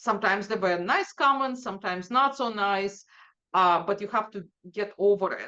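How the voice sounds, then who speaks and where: A woman with a non-native accent speaks in a bright, sharp tone with ordinary pitch variation. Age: 50s. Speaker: data executive. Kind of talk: interview.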